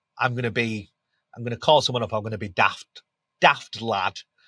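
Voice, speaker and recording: A man with a Yorkshire accent speaks at a moderate pace and a medium pitch, with a bright, sharp tone. The recording is very clean, with a silent background and a dry, close sound with no echo. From Yorkshire, England. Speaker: B2B SaaS brand growth manager. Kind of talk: podcast interview. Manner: animated.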